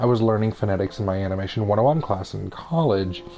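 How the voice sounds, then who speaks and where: A man mumbles at a fairly quick pace with music in the background. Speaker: gaming streamer. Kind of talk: casual chat. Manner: mumbling, stumbling over words; halting.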